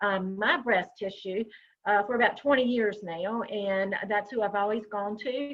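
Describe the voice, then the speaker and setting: Speaking slowly in a Southern US accent, a woman uses a fairly high pitch and fairly even intonation. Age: 60s. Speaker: breast health educator. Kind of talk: online workshop presentation. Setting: video call.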